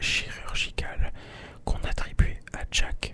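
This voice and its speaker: Someone is whispering at a very slow pace. Noticeable background noise sits behind the voice. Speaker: ASMR content creator. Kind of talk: ASMR story time, whispered storytelling. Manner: whispered.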